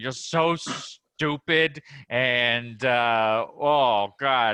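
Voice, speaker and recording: At a very slow pace, a man uses a put-on character voice with a medium pitch. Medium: role play.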